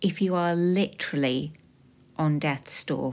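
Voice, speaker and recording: With a British accent, a woman speaks at a fairly slow pace with ordinary pitch variation. The recording is very clean, with a silent background. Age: 40s. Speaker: podcast host sharing lived experience. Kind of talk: scripted personal narration.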